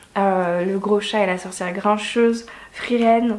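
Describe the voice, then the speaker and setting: Noticeable background noise behind a woman's fairly high voice at a fairly slow pace. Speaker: book YouTuber. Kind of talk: casual vlog review.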